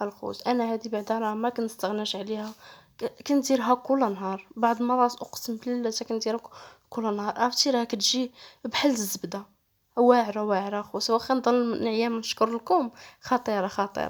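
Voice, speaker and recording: With a Moroccan accent, a woman speaks at a moderate pace in a fairly high voice, her intonation fairly even. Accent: Moroccan Darija. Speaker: cooking channel host. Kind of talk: cooking tutorial. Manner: tired, low-energy.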